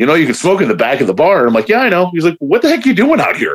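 A man speaks with an American accent. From Chicago area, Hammond. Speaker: beard club member. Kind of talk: casual chat.

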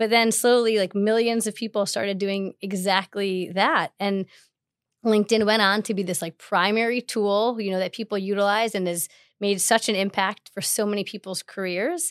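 A woman with a plain, everyday voice speaks at medium pitch and a moderate pace, with fairly even intonation. The recording is very clean with a silent background and a dry, close sound with no echo. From Chicago. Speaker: tech company partnerships manager. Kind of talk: podcast interview.

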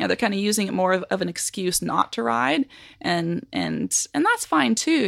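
A woman speaks with a Western Canadian accent. Her voice sounds dry and close, with no echo. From Canada, Nelson, British Columbia. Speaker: horse trainer. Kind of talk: interview conversation.

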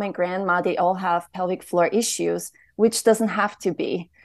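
Against a quiet background, a woman with a German accent speaks slowly-ish at a medium pitch, using ordinary pitch variation. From Austria. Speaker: womb healer and trainer. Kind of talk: interview.

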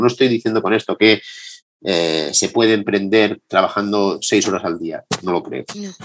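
Here a man speaks at a fairly low pitch. His pitch varies in an ordinary way. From Madrid, Spain. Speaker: entrepreneur. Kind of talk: interview testimony.

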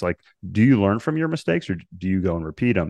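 Dry, close sound with no echo and a fairly quick pace. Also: man, quiet background. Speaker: podcast host. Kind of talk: interview conversation.

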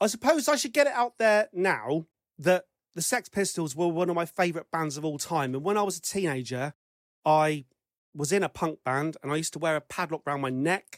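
Someone with an English accent speaks at a fairly quick pace on a very clean recording with a silent background. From England. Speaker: podcast host. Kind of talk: casual chat.

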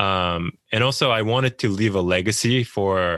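In a Japanese accent, a man speaks at a fairly slow pace and fairly low pitch with fairly even intonation, the sound dry and close with no echo. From Japan, small town near Tokyo. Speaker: author. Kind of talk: interview. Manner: hesitant, many fillers.

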